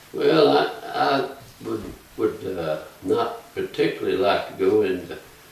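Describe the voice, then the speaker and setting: Here is a man speaking with a Georgia accent. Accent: Southern American (Georgia). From Aragon, Georgia, USA. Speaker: retired school principal and former mayor. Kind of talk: oral history interview answer.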